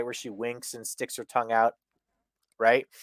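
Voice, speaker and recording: A man at medium pitch speaks at a moderate pace in a dry, close recording with no echo, very clean with a silent background. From Canada. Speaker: wrestling podcast co-host. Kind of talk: casual chat.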